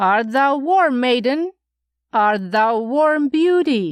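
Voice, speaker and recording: Using a put-on character voice, a woman speaks very slowly at a high pitch. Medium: read story. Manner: sing-song, repetitive questioning.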